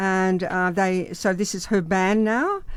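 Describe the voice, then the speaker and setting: A woman speaks at a medium pitch with an Australian accent. The recording is very clean, with a silent background. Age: 70s. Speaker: drummer. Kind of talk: radio interview. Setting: radio studio. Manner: halting.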